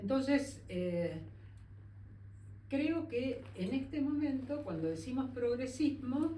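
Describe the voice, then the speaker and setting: A woman's high voice, very slow with long, frequent pauses and very wide pitch swings, amid noticeable background noise and audible room echo. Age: 70s. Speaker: feminist activist and researcher. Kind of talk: public conversation.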